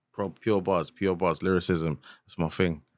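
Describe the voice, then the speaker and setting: A man with a very deep, low pitch talks at a moderate pace in a monotone, flat intonation on a very clean recording with a silent background. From East London, Hackney. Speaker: rapper. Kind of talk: casual interview chat.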